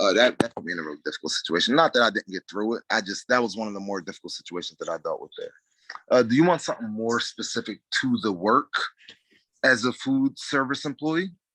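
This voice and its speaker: Mumbling at a very fast pace, a man's loudness swings widely. The recording is dry and close, with no echo. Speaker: job interview candidate. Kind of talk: job interview. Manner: mumbles a little.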